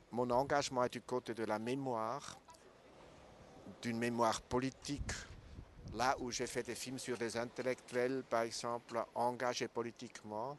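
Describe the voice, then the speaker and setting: Using long, frequent pauses, a man talks at a fairly slow pace and medium pitch in a monotone, flat intonation. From Switzerland. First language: not French (speaking French). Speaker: documentary filmmaker. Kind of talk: interview. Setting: festival.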